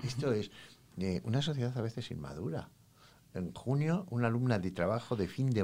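Over a very clean recording with a silent background, a man with a plain, everyday voice speaks at a moderate pace. His fairly low pitch moves with lively intonation. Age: 60s. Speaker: psychologist. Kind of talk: interview.

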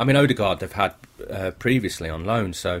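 Here a man talks at a very fast pace. His fairly low voice has lively intonation. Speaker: football journalist. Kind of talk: analysis and opinion.

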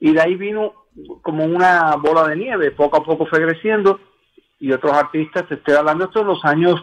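Ordinary pitch variation in a normal speaking voice. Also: man. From Cuba. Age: 60s. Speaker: songwriter. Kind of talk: interview.

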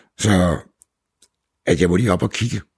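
Lively intonation with vocal fry, in a dry, close sound with no echo. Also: man. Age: 70s. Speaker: businessman, seal skin products entrepreneur. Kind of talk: casual conversation, reportage interview.

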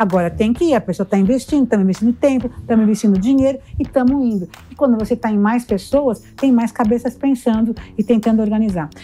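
Through noticeable background noise, a woman speaks very fast at a fairly high pitch, her loudness very even. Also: ordinary pitch variation. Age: 60s. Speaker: motivational speaker and entrepreneur. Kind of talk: casual interview.

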